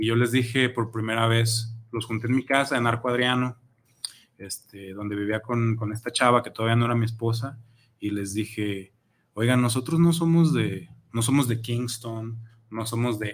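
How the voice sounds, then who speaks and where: A man with an ordinary speaking voice talks at a moderate pace in a medium pitch, his intonation fairly even. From Mexico, Zapopan (Guadalajara area). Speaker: reggae musician, band leader. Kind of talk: casual interview. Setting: radio studio.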